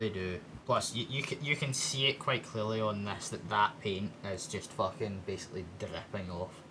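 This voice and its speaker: Over noticeable background noise, a man with a Scottish accent talks at a fairly low pitch with ordinary pitch variation and hardly any pauses. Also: moderate pace. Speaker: streamer. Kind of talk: casual chat.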